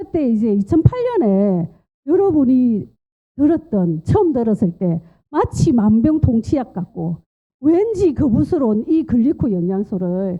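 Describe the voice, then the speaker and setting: Speaking at a fairly slow pace, a woman makes very wide pitch swings. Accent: strong western Gyeongsang. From western Gyeongsang, Korea. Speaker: nurse and nutrition lecturer. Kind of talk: lecture.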